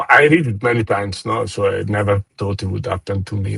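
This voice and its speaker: A somewhat breathy, fairly low male voice at a moderate pace. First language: not English. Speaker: trader. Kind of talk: interview. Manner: halting.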